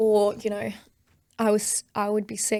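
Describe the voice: At a fairly slow pace, a woman speaks at a medium pitch with a dark, mellow tone, vocal fry and monotone, flat intonation.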